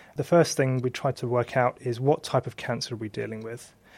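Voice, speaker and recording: This man has an unremarkable speaking voice at medium pitch, talking at a moderate pace with fairly even intonation on a very clean recording with a silent background. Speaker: histopathologist. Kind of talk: interview explaining medical work.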